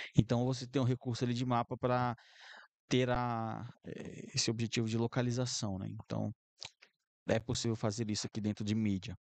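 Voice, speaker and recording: A man talks in a monotone with flat intonation, leaving long, frequent pauses. The sound is dry with no echo, and the background is quiet. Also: moderate pace. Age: 20s. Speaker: YouTube tutorial creator; presenter. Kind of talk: software tutorial. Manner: casual, filler-heavy. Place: home room.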